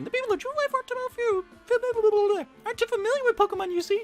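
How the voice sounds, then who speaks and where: With music in the background, a man rattles off lines at a very fast pace in a squeaky, put-on character voice. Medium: game stream. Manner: jolly, chatty.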